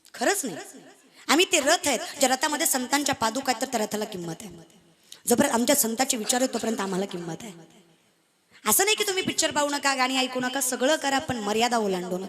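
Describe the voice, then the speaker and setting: A high-pitched woman's voice with very wide pitch swings and big swings in loudness. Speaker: kirtan performer. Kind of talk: comic devotional kirtan sermon.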